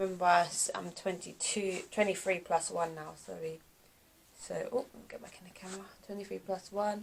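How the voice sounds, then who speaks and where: A woman speaks with a British accent. Her pace is moderate and her intonation fairly even. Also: medium pitch for a woman, big swings in loudness. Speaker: vlogger. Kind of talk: casual vlog talk to camera. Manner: sluggish.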